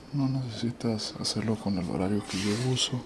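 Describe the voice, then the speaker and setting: This soft-spoken man talks at a moderate pace with ordinary pitch variation. Noticeable background noise sits behind him. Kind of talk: ASMR cooking tutorial.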